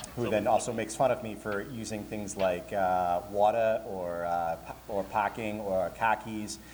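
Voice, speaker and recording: With an American accent, a man speaks in a fairly low pitch at a fairly slow pace. His intonation stays fairly even, and he hardly pauses at all. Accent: slight Boston accent that slips out. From Boston, Massachusetts. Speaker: convention programming director and DJ. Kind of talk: live convention panel. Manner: casual, joking.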